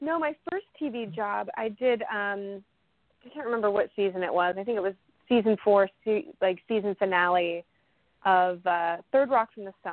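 With an American accent, a woman speaks in a plain, everyday voice at medium pitch and a moderate pace. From Las Vegas, Nevada. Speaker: soap opera actress. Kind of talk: casual interview.

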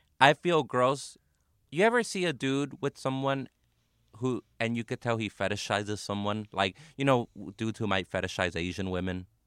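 Dry and close with no echo on a very clean recording with a silent background, a man with an American accent speaks in a plain, everyday voice at a medium pitch, moderate pace and lively intonation. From Los Angeles, South Central. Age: 30s. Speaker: comedian. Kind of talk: casual chat. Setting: studio.

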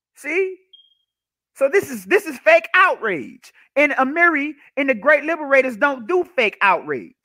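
Loud and animated, a man with an extremely high pitch speaks with lively intonation at a moderate pace. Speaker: political commentary livestreamer. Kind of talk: solo livestream monologue. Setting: live stream. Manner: animated, with frequent repetitions.

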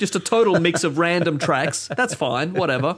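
This man speaks with an Australian accent. His pitch is high and his intonation is lively. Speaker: podcast host. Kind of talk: casual chat.

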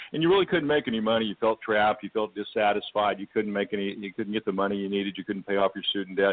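Very fast delivery with hardly any pauses, over noticeable background noise. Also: man, fairly low pitch for a man, ordinary pitch variation. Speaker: network marketing executive. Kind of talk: casual interview.

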